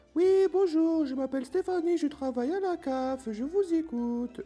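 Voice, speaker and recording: A put-on character voice is pitched high. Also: moderate pace. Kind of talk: polite professional French.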